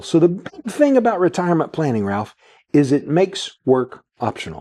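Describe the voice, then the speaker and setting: This man's voice is high for a man, dark and mellow in tone, with very wide pitch swings and a fairly quick pace. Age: 60s. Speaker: financial advisor. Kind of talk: radio/TV show chat.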